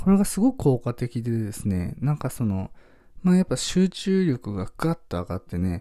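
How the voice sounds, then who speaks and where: Dark and mellow in tone, this man's voice sits at a medium pitch. His pitch swings very widely. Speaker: minimalist podcaster. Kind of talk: solo radio talk. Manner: fast; many fillers.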